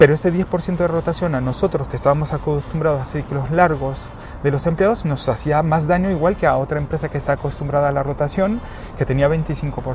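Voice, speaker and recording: A man at a fairly quick pace, fairly high-pitched, with ordinary pitch variation and music in the background. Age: 40s. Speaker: HR executive. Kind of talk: interview. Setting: outdoor rooftop terrace.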